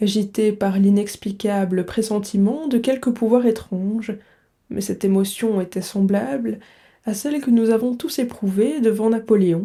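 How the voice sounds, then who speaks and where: At a fairly slow pace, a woman speaks with a dark, mellow tone, medium pitch and ordinary pitch variation on a very clean recording with a silent background. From Belgium. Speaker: French teacher / book reader. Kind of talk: literary audiobook reading.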